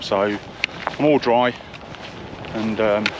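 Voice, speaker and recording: A man speaks with a fairly low pitch and fairly even intonation. The sound is dry with no echo, and there is noticeable background noise. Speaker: solo hiker vlogger. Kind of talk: casual vlog chat. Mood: wry, weather-weary. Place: open country. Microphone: phone near.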